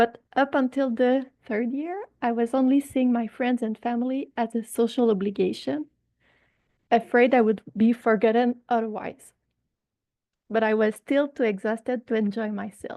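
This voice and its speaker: With a strong Quebec accent, a woman speaks at a moderate pace and fairly high pitch in a dark, mellow tone, her intonation fairly even and the sound dry and close with no echo. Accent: thick Quebecois French. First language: French. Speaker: patient representative, long covid patient. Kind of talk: personal testimony in a webinar. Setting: online webinar.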